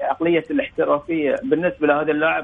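The speaker is a man. He talks at a moderate pace. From Bahrain. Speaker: former footballer, football pundit. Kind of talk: casual sports discussion.

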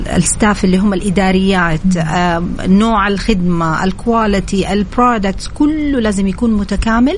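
A woman at medium pitch and moderate pace, with audible room echo and noticeable background noise. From Saudi Arabia. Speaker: beauty center manager. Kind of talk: radio interview. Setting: radio studio.

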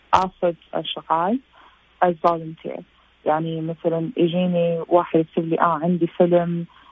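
Fairly low in pitch, a woman speaks at a fairly slow pace in a plain, everyday voice. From Saudi Arabia, Jeddah. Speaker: visual effects artist. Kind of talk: interview.

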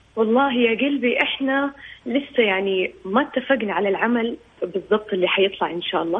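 A woman talks at a fairly quick pace in a fairly high pitch with ordinary pitch variation. Noticeable background noise runs behind her. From Saudi Arabia. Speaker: singer. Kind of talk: radio interview.

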